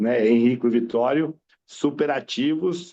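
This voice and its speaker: Speaking at a very slow pace, a man with a medium pitch and a dark, mellow tone shows ordinary pitch variation. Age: 50s. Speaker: veterinarian. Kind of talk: self-introduction at club meeting.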